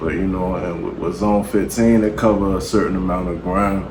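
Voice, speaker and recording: Over noticeable background noise and audible room echo, a man talks quietly at a fairly quick pace. His pitch is fairly low. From Baltimore, Maryland, US. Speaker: battle rapper. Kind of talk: interview.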